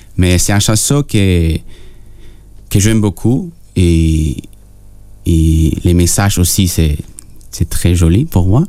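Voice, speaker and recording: Against noticeable background noise, a man with a Spanish accent speaks in a very deep, low pitch at a very slow pace, with long, frequent pauses and very even loudness. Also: ordinary pitch variation. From Peru. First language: Spanish (speaking French). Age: young. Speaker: singer-songwriter. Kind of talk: radio interview. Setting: radio studio. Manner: halting.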